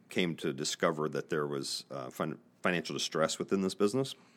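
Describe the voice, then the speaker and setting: The speech comes at a moderate pace in an American accent on a very clean recording with a silent background. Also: man. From Northeast Indiana, US Midwest. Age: 50s. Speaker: business podcast host and investor. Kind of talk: casual interview. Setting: studio.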